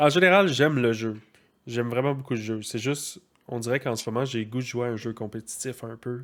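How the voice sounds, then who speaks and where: A man with a Quebec accent speaks at a medium pitch with ordinary pitch variation. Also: fairly quick pace, very clean recording, silent background. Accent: Québécois French. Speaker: gaming podcast co-host. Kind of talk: casual chat.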